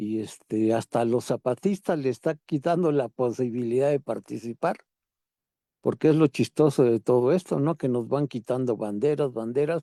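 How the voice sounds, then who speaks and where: In a very clean recording with a silent background and a dry, close sound with no echo, a man speaks at a moderate pace and medium pitch in a dark, mellow tone. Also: ordinary pitch variation. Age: 70s. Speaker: participant in a political discussion group. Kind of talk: group discussion.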